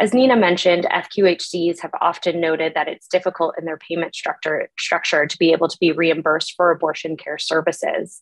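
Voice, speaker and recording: A woman's ordinary speaking voice, fairly low in pitch, with fairly even intonation, a fairly quick pace and hardly any pauses, against a quiet background. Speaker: physician; presenter. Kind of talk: lecture. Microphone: webcam.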